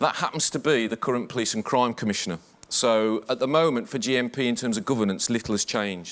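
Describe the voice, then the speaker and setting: A man speaks at a very fast pace, his medium-pitched voice carrying ordinary pitch variation. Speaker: senior police officer. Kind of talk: conference talk.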